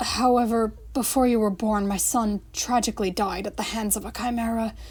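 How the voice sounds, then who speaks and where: In a put-on character voice, a woman sounds raspy and croaky at a fairly high pitch and a moderate pace. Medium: read story.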